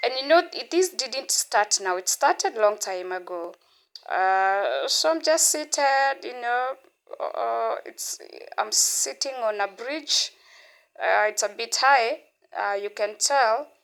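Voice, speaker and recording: In a very clean recording with a silent background, a high-pitched woman speaks very slowly with very wide pitch swings. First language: not English. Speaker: vlogger. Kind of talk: casual vlog talk. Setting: outdoors at a beach.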